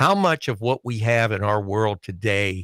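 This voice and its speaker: At a fairly slow pace, a man with a Southern US accent speaks at a fairly low pitch with fairly even intonation, in a very clean recording with a silent background and a dry, close sound with no echo. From Alabama, US South. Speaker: wrestling show panelist. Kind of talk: casual chat.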